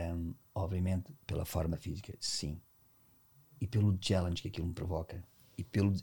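A man speaks at a moderate pace in a very deep, low pitch. His voice is somewhat breathy, with a dark, mellow tone. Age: 50s. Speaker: dance teacher and dancer. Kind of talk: casual interview chat. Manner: animated, intense.

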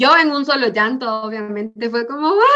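A woman's voice with a bright, sharp tone. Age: 20s. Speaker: psychologist working in youth entrepreneurship education. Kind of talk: interview conversation.

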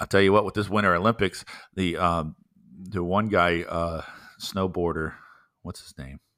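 Speaking with an American accent, a man with a very deep, low pitch and a bright, sharp tone keeps a moderate pace, fairly even intonation and long, frequent pauses. His loudness swings widely, and the recording is very clean, dry and close, with no echo and a silent background. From US South (Florida, South Carolina). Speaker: pastor and podcast host. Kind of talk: casual chat. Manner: laughs often.

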